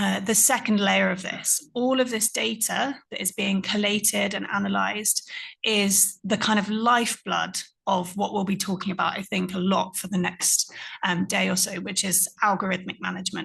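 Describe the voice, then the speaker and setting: Over a quiet background, a woman with vocal fry speaks at a medium pitch and a moderate pace, her intonation fairly even. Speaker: conference panelist. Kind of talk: panel talk.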